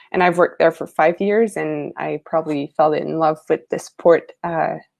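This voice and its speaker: A woman with a Quebec accent speaks at a moderate pace. The sound is dry and close with no echo, against a quiet background. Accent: Québécois French accent in English. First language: French. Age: 20s. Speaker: lifesaving sport coach. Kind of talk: webinar presentation. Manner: hesitant, searching for words.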